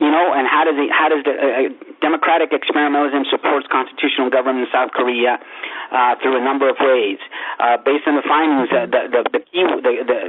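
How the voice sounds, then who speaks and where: Against noticeable background noise, a man with a fairly high pitch speaks at a very fast pace with fairly even intonation. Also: very even loudness. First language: not English. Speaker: dissertation committee chair. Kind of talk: committee deliberation. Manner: halting, many repetitions.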